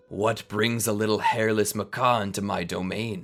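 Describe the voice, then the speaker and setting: A man's put-on character voice, growling, fairly low in pitch, monotone and flat, at a moderate pace. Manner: menacing, imperious.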